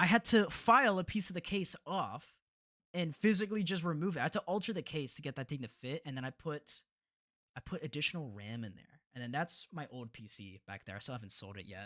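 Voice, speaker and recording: With an American accent and vocal fry, a man speaks at a fairly quick pace and fairly high pitch, his pitch swinging very widely and his loudness swinging a lot, in a dry, close sound with no echo. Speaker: content creator streaming video editing. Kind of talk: casual live stream chat. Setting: live stream with webcam.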